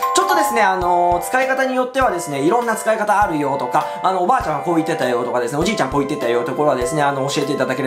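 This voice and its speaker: A man speaks. Clear music plays in the background. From Shonai, Yamagata, Japan. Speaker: YouTuber. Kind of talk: dialect lesson talk to camera. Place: home room.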